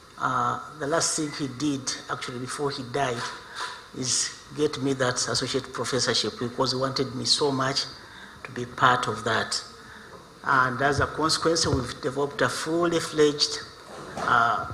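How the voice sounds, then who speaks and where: With noticeable background noise and audible room echo, a man of medium pitch talks at a moderate pace, his intonation fairly even and broken by long, frequent pauses. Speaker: visiting associate professor, researcher. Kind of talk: conference presentation.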